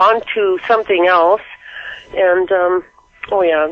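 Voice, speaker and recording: Over noticeable background noise, a woman with a medium pitch speaks at a fairly slow pace with fairly even intonation. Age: 60s. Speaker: caller. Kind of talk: call-in radio chat. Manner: halting.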